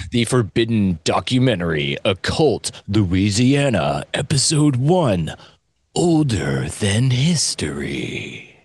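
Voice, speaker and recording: In a put-on character voice, a man speaks at a medium pitch and a fairly slow pace, his tone dramatic and his pitch swinging very widely. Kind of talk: voiceover, theatrical. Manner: dramatic announcer voice.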